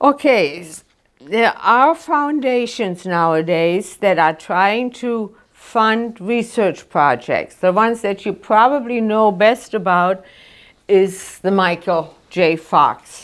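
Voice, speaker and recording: On a very clean recording with a silent background, a woman with a German accent talks at a very slow pace and a medium pitch, her intonation lively. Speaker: resident with Parkinson's giving a talk. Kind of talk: informative talk. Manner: halting.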